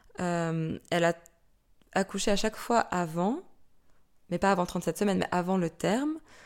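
Leaving long, frequent pauses, a woman with a fairly low pitch talks at a fairly slow pace with ordinary pitch variation. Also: very clean recording, silent background. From France. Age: 30s. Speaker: mother sharing birth story. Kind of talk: testimony. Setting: late evening recording. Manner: animated.

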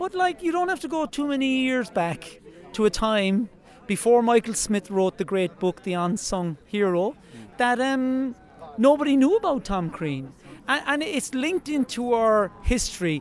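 Speaking at a fairly slow pace in a Cork accent, a man uses an extremely high voice with very wide pitch swings. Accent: Irish (Cork). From Ireland. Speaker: wildlife guide and monument committee chair. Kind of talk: outdoor interview.

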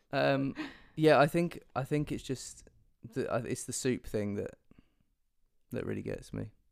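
A man talks at a moderate pace, captured in a very clean recording where the background is silent. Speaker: podcast co-host. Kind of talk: casual chat.

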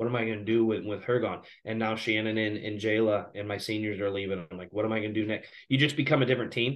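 Talking very fast with hardly any pauses, a man with an American accent uses a fairly low pitch and fairly even intonation. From southern Illinois, Belleville area. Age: 30s. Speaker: high school basketball coach. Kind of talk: casual interview.

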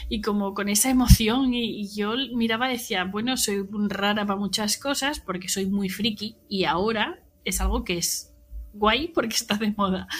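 A woman speaks with a Spanish accent at a moderate pace. Her pitch is medium, with ordinary variation. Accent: Peninsular Spanish. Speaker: social media content creator. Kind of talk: casual chat.

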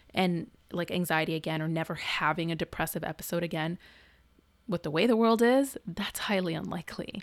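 This is a very clean recording with a silent background. A woman speaks at a fairly quick pace with ordinary pitch variation. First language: not English. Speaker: therapist and podcast co-host. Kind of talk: casual chat.

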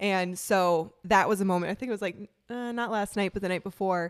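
On a very clean recording with a silent background, a woman with an Upper Midwest accent speaks in an animated tone. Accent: Upper Midwest American. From Wisconsin, from fourth grade. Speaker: dog trainer and podcast co-host. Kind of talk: casual chat. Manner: animated, laughing often.

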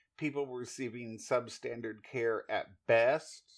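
A man talks at a moderate pace with fairly even intonation. His medium-pitched voice is an ordinary speaking voice. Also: quiet background. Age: 60s. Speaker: podcast host and nurse. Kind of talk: casual storytelling monologue. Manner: repetitive, conversational.

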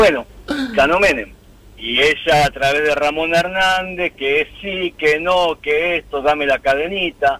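With a Rioplatense accent, a man speaks at a fairly high pitch and fairly slow pace. Noticeable background noise is present. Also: ordinary pitch variation. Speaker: radio caller. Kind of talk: anecdote. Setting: phone call.

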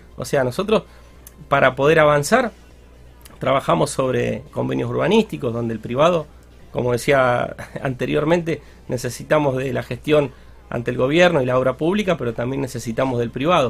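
A man with a medium pitch talks at a fairly quick pace, with ordinary pitch variation and long, frequent pauses. Noticeable background noise is present. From Argentina, Santa Fe province (near Rosario). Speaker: local government leader. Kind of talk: radio interview.

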